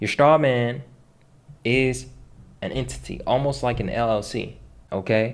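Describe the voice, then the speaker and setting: Long, frequent pauses break up this man's speech. His medium-pitched voice stays fairly even. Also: fairly slow pace. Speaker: online finance and debt educator. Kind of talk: tutorial. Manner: casual, conversational.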